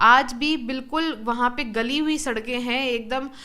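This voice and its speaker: A woman speaks at a high pitch with ordinary pitch variation. Her tone is bright and sharp. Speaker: politician, election candidate. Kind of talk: interview answer.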